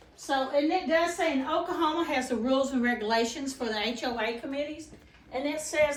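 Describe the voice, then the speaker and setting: A woman with a high pitch speaks at a fairly quick pace. Audible room echo and noticeable background noise fill the recording. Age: 60s. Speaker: property owner and community activist. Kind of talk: casual informational talk.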